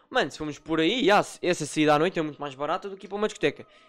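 A man with a Lisbon accent speaks with ordinary pitch variation. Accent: European Portuguese, Lisbon. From Portugal, Lisbon. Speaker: podcast host and moderator. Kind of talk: casual chat.

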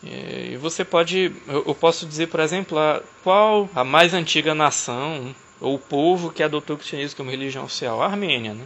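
Speaking at a moderate pace with ordinary pitch variation, a man of fairly high pitch has an ordinary speaking voice. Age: 30s. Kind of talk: casual discussion.

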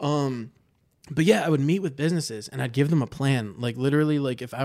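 A man with an American accent, an unremarkable speaking voice and ordinary pitch variation, on a very clean recording with a silent background. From Michigan, Livonia. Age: 30s. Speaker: marketer at a software company. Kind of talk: casual chat.

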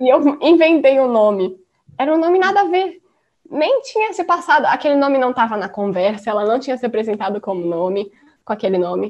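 A woman speaks in a high voice at a fairly quick pace. Her pitch swings very widely. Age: 20s. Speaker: design student. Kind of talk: casual chat.

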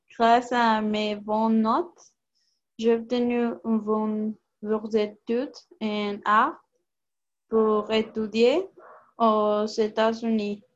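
Very slow and full of long, frequent pauses, a woman speaks in a fairly high pitch with a monotone, flat intonation. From Canada, Toronto. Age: 20s. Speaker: film actress. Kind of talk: panel discussion.

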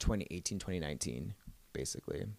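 Very fast, a man speaks with an American accent. The recording is very clean, with a silent background. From Southern California, Orange County. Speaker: musician. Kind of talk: casual interview chat.

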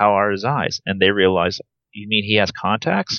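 Speaking at a moderate pace with an American accent, a man has a fairly low pitch and a plain, everyday voice. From Nebraska, US Midwest. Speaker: airline pilot. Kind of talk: interview, personal story.

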